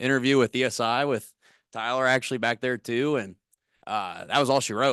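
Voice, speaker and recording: Against a quiet background, a man with a Missouri accent speaks at medium pitch and moderate pace in a bright, sharp tone with fairly even intonation. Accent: Missouri rural twang. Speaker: corporate recruiter. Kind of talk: career workshop talk.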